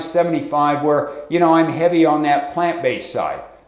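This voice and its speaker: A man's high-pitched voice comes at a fairly quick pace, with audible room echo and noticeable background noise. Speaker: fitness video host. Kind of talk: video tutorial monologue. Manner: casual, many filler words.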